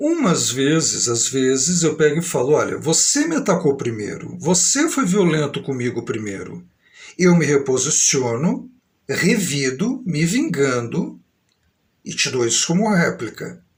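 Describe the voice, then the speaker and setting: Here a man speaks in a São Paulo accent at a fairly high pitch, with vocal fry. His pace is fairly slow and his intonation lively. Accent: old-fashioned São Paulo. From Brazil, São Paulo state. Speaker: vlogger. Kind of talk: live stream monologue. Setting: live stream.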